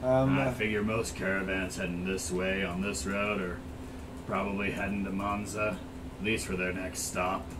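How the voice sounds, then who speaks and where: A man performs a put-on character voice with a fairly low pitch. Loud background noise is present. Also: moderate pace. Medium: actual play. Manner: skeptical, blunt, unimpressed; homesick and tired of the road.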